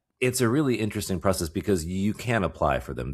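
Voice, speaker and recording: Using vocal fry and lively intonation, a man talks at a fairly quick pace in a very clean recording with a silent background. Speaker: podcast co-host. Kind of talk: casual chat. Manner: halting, repeated words.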